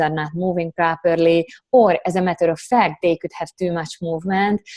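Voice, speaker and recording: A woman with a non-native accent, fairly low pitch and fairly even intonation, in a dry, close sound with no echo. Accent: foreign. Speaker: Pilates instructor and corrective exercise specialist. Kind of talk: interview.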